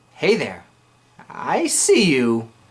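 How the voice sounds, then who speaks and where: Male voice at a medium pitch. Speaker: YouTuber and writer. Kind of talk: casual vlog. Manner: slurs and stumbles over words; animated.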